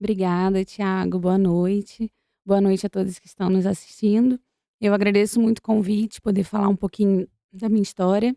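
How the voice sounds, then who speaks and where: With a Rio de Janeiro accent, a woman speaks at a medium pitch and moderate pace in a dark, mellow tone with monotone, flat intonation and big swings in loudness, in a dry, close sound with no echo. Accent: carioca. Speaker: doctor. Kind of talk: interview.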